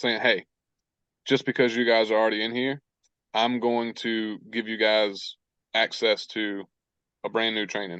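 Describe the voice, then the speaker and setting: A man's medium-pitched voice in a monotone, flat intonation at a moderate pace. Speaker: online business coach. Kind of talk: live coaching webinar Q&A.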